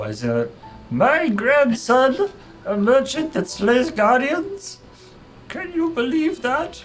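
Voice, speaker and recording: Over clear background music, a man puts on a character voice at an extremely high pitch and speaks at a very slow pace. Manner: proud and amused.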